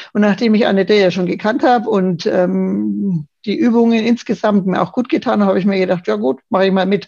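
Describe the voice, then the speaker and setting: A dark, mellow tone at a fairly quick pace. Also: woman. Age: 50s. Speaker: yoga course participant, office manager. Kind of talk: casual interview. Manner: hesitant, many fillers.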